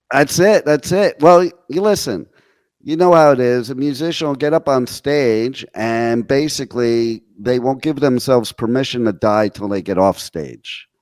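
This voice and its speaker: An ordinary speaking voice from a man with an American accent, medium in pitch, with lively intonation at a moderate pace, on a very clean recording with a silent background. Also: dry, close sound with no echo. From New Jersey. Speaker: internet radio host. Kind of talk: casual radio interview.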